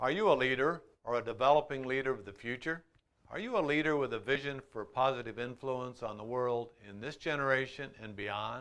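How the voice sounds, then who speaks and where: A man with an American accent and an unremarkable speaking voice talks at medium pitch and a fairly quick pace. His pitch varies in an ordinary way while his loudness swings widely. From Iowa, USA. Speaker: motivational speaker. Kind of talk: motivational promo talk to camera.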